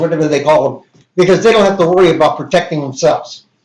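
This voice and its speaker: A man speaks. His voice is loud. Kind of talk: casual chat. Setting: live stream.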